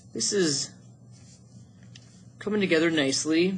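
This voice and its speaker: A man talks at a fairly high pitch with ordinary pitch variation. He uses a normal speaking voice. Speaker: art teacher. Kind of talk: tutorial.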